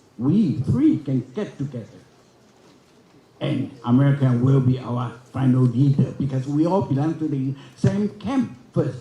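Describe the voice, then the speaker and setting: Somewhat breathy and dark, mellow in tone, a man with a fairly high pitch speaks at a fairly slow pace with long, frequent pauses and ordinary pitch variation, amid audible room echo. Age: 80s. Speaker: forum speaker. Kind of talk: conference speech. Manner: halting.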